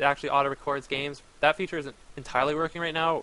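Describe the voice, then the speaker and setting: A man's very fast delivery, fairly high in pitch, with a bright, sharp tone and fairly even intonation. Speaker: video game streamer. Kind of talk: casual stream Q&A answers.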